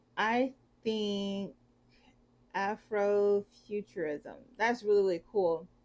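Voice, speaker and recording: A woman with a Southern US accent talks at a very slow pace, with long, frequent pauses and ordinary pitch variation. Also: medium pitch for a woman. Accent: Southern, tried to change it. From US South, southwest Georgia. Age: 30s. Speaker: book reviewer. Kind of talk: casual vlog talk. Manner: halting, many fillers.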